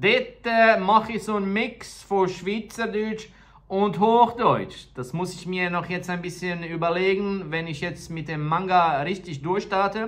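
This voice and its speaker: Amid audible room echo, a man with a high pitch talks at a fairly slow pace with ordinary pitch variation and hardly any pauses. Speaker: tattoo artist and vlogger. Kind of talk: casual vlog talk.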